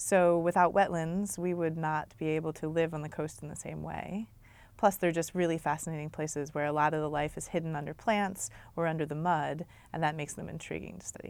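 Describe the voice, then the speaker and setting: Fairly quick speech in an American accent with fairly even intonation, on a very clean recording with a silent background. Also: woman, very deep, low pitch for a woman. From Maryland, US. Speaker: wetland ecologist and professor. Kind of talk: interview answers.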